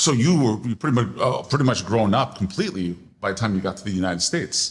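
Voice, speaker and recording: A man with an American accent speaks at a very fast pace, his fairly low voice a little breathy and his intonation lively. The recording is very clean, with a silent background. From New York (Queens). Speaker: podcast host. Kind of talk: interview. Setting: gallery opening.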